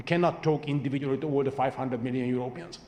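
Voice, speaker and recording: A man with a fairly high pitch and fairly even intonation, over noticeable background noise. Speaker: panelist on foreign policy. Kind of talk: panel discussion. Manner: fast.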